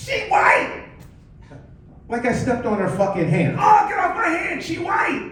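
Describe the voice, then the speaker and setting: A man's voice swings very widely in pitch. Noticeable background noise and audible room echo fill the recording. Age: 50s. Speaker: stand-up comedian. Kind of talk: stand-up. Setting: stage with audience. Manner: frequent filler 'you know'.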